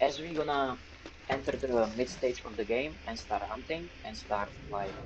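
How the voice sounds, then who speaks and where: A man of medium pitch at a moderate pace, with ordinary pitch variation and noticeable background noise. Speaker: gaming streamer. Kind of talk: let's play commentary. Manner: stuttering; animated.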